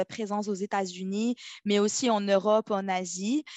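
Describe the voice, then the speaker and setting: This woman's voice sits at medium pitch, flat and monotone. She moves at a fairly slow pace. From Morocco. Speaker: legal operations specialist. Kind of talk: interview. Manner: halting.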